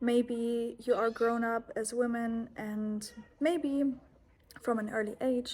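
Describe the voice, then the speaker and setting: Speaking in a German accent, a woman keeps a monotone, flat intonation at a fairly high pitch with a dark, mellow tone. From Germany. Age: 20s. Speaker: yoga and self-help vlogger. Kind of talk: personal vlog monologue. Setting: holiday accommodation abroad.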